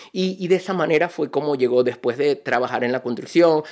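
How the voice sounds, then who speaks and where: A man's pitch varies in an ordinary way while the background stays quiet. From Venezuela, Barinas; Venezuela. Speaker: energy consultant and entrepreneur; podcast guest. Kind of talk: interview. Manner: halting, many repetitions. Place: studio. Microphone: studio mic.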